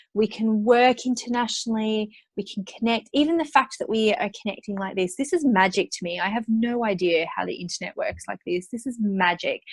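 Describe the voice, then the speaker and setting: With an Australian accent, a woman talks at a fairly quick pace in a fairly high, somewhat breathy voice, her intonation lively and hardly any pauses between words. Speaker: entrepreneur and money mindset coach. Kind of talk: interview.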